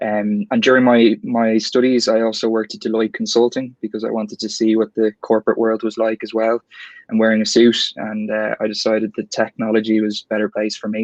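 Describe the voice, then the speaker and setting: With an Irish accent, the speaker goes at a fairly quick pace in a monotone, flat intonation, and the sound is dry and close with no echo. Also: man. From Ireland, Dublin. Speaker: tech account executive. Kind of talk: online panel interview.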